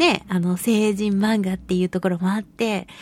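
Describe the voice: A woman at a fairly slow pace, dry and close, with no echo.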